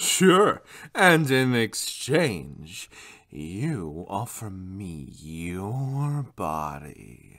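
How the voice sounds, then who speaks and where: This low-pitched, put-on character voice moves very slowly with very wide pitch swings, on a very clean recording with a silent background. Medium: dub.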